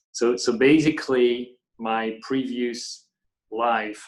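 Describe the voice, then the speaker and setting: A man of medium pitch speaks with a French accent. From France, Paris area. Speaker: company founder and CEO. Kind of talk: interview conversation. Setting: video call. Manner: halting, many repeated words.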